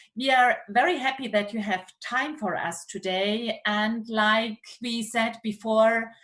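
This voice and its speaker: In a German accent, a woman talks at a very slow pace with hardly any pauses. Her pitch is fairly high, with ordinary variation. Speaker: university professor. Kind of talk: seminar moderation. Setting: video call.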